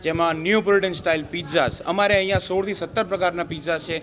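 A man speaks at a high pitch with fairly even intonation. Noticeable background noise runs under his voice. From India, Gujarat (Surat). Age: 20s. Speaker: restaurant owner, software engineer. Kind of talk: interview.

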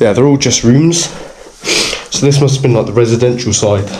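A man talking at a fairly quick pace with ordinary pitch variation, over noticeable background noise. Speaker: urban explorer vlogger. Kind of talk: casual vlog chat. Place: empty room. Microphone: phone near.

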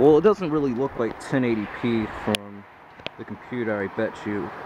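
A man at a moderate pace with ordinary pitch variation, in a dry sound with no echo and noticeable background noise. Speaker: amateur weather videographer. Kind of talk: casual vlog narration. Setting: outdoors. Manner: rambling, hesitant with fillers. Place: street. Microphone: new HD camera's built-in mic; phone near.

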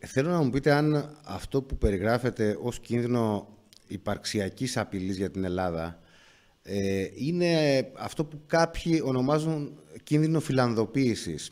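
The intonation here is lively. A man delivers it at a fairly slow pace. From Greece. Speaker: journalist interviewer. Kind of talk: interview. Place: studio. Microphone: studio mic.

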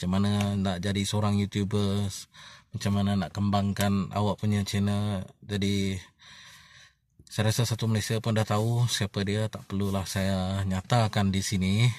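Speaking at a fairly slow pace, a man with a fairly low pitch keeps a monotone, flat intonation, and the sound is dry with no echo. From Sarawak, Bintulu; Sarawak, Malaysia. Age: 30s. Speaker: vlogger. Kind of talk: casual vlog monologue. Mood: reflective, earnest. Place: car. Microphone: phone near.

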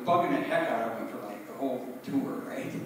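A man speaks at a medium pitch with ordinary pitch variation. Strong room echo surrounds his voice.

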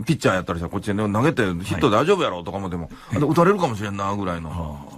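An animated man at a fairly low pitch and a very fast pace, with very wide pitch swings and a quiet background. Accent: Kansai. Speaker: engineering professor. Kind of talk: radio commentary. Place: studio. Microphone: studio mic.

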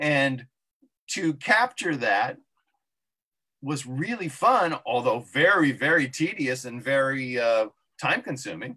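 A man speaks very slowly, with long, frequent pauses and lively intonation. His voice is fairly high with a bright, sharp tone, over a quiet background. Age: 60s. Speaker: comic book inker. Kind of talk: casual interview. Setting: live video stream. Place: home room. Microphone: video call.

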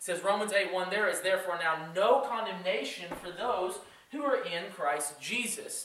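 The voice is raised and projected. Room echo is audible. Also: man. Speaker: youth pastor. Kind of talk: sermon. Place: church. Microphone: camera far.

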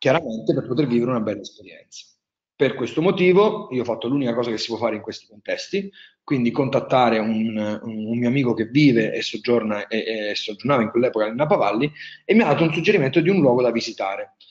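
A man's medium-pitched voice in a strong Marche accent, very fast and with lively intonation, over a quiet background. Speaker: wine tourism entrepreneur, webinar speaker; webinar speaker. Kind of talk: webinar presentation. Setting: online webinar. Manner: hesitant, many fillers. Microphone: webcam.

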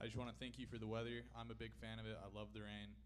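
The pitch barely moves. The pace is very fast. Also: man, fairly low pitch for a man.

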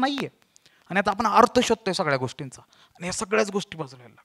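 A man's raised, projected voice, bright and sharp in tone, animated, with lively intonation against a quiet background. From Maharashtra, Satara; Maharashtra. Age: 20s. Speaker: motivational speaker and comedian; motivational speaker, comedian. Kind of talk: stand-up storytelling. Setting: stage with audience. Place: stage. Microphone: handheld.

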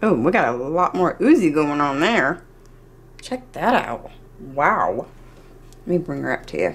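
A woman with a very deep, low voice and vocal fry speaks at a fairly slow pace, her pitch swinging very widely between long, frequent pauses. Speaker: cooking video creator. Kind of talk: cooking tutorial. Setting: home kitchen. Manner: animated. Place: kitchen.

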